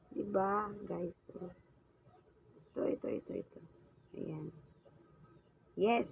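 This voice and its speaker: A woman speaking very slowly, with long, frequent pauses. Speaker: vlogger. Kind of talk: cooking tutorial. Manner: casual, chatty.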